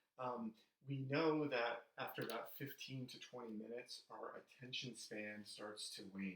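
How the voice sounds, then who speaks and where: A man uses an unremarkable speaking voice and talks at a moderate speed. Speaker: psychology professor. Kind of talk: recorded lecture. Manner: casual with fillers.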